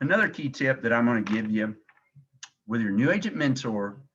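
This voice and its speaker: Speaking at a moderate pace in a Southern US accent, a man with a fairly low voice has a bright, sharp tone and ordinary pitch variation. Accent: Southern country. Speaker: insurance agency director. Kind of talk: sales training call. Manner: animated.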